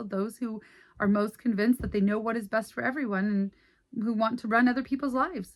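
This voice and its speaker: The woman's voice is somewhat breathy and fairly high in pitch. She speaks at a fairly quick pace with ordinary pitch variation. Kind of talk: reading an essay aloud.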